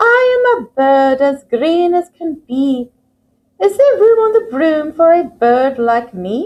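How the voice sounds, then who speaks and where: Putting on a character voice, a woman talks at a fairly slow pace in a high pitch with very wide pitch swings. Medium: read story.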